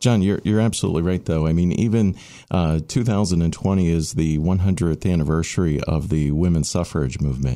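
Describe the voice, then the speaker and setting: A dark, mellow tone at a fairly quick pace. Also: man. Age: 40s. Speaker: town manager. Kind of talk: panel discussion. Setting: studio.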